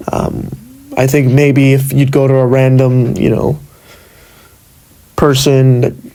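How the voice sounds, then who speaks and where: Monotone, flat intonation in an American accent, with audible room echo. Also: man. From Los Angeles, US. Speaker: podcaster. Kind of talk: solo podcast monologue. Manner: hesitant, many fillers.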